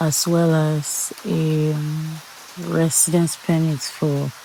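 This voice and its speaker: The tone is calm, and background noise is noticeable. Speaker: law student. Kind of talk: study read-aloud of law notes.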